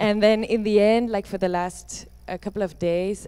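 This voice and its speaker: Her dark, mellow voice stays monotone and flat as this woman speaks at a moderate pace. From Netherlands or Flanders. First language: Dutch. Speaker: performance artist. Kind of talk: Q&A discussion. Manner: halting.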